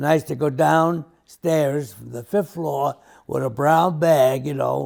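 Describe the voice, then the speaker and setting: The man talks in a New York accent. He keeps a moderate pace. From New York City. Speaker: interviewee recalling childhood. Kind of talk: family oral history interview. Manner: halting, with restarts.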